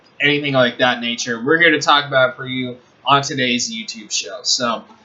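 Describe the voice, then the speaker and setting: Speaking at a fairly quick pace with fairly even intonation, a man with a medium pitch is heard over noticeable background noise. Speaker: sports show host. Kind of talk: casual sports talk show. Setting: online video show.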